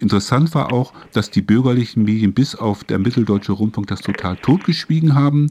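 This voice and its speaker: With ordinary pitch variation, the words come at a fairly quick pace. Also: man, medium pitch for a man. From northern Germany, Hamburg. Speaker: radio host. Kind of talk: interview. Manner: halting.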